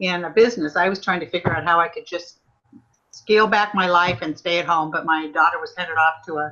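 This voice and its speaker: Using an ordinary speaking voice, a woman speaks at a fairly low pitch with fairly even intonation. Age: 60s. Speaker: former nurse, network marketing consultant. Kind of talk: testimony.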